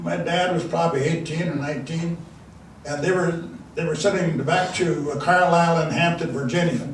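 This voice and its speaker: Speaking with a Northern Plains accent, a man uses a high pitch. Noticeable background noise and audible room echo fill the recording. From South Dakota, Dakota reservation. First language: Dakota. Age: 80s+. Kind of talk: speech to an audience. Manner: halting, frequent fillers.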